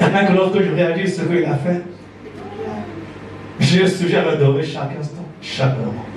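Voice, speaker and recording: A man's high voice carries ordinary pitch variation at a moderate pace with long, frequent pauses. Audible room echo and noticeable background noise surround it. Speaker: church elder, preacher. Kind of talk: sermon.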